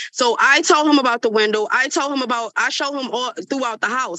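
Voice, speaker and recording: A woman speaks very fast in a bright, sharp tone, the sound dry and close with no echo. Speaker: tenant testifying in court. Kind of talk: court testimony. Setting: courtroom.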